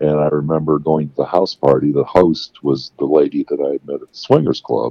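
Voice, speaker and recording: Fairly quick pace from a man, with big swings in loudness. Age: 60s. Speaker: caller sharing sex life story. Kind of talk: casual interview.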